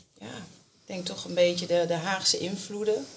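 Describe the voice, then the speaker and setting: A woman speaks at a fairly quick pace with fairly low pitch and fairly even intonation. Audible room echo and noticeable background noise are present. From Scheveningen, Netherlands. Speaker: primary school teacher and amateur actor. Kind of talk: casual chat.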